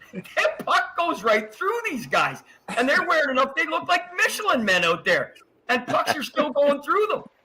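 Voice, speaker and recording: A man's extremely high, raised and projected voice, animated in tone, with very wide pitch swings. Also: moderate pace. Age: 60s. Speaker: hockey historian. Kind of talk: podcast interview.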